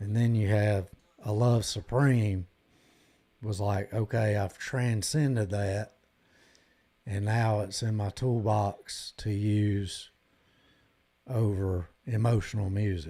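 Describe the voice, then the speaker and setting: A man with a Southern US accent speaks at a very slow pace and a fairly low pitch, with long, frequent pauses and fairly even intonation. His voice is somewhat breathy with a dark, mellow tone, on a very clean recording with a silent background. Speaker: guitar live streamer. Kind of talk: casual live stream chat.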